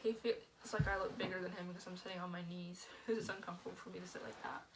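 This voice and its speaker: A woman speaks very fast at a medium pitch with fairly even intonation and big swings in loudness. Audible room echo surrounds her voice. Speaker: couple vlogger. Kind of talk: casual chat.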